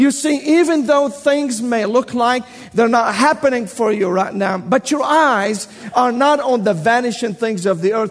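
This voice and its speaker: Over noticeable background noise, a man with a high pitch speaks at a fairly slow pace with lively intonation. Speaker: preacher. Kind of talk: sermon. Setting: church. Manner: animated.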